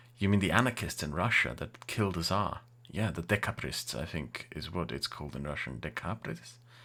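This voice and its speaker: A man with an English accent speaks at a moderate pace, his very deep, low pitch marked by vocal fry. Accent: English-sounding. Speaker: YouTuber and streamer. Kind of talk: live Q&A stream, casual. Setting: live stream with chat. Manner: casual, hesitant with fillers.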